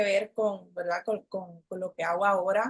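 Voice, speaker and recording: At a moderate pace, a woman speaks with a Puerto Rican accent. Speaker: emotional recovery coach. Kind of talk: interview.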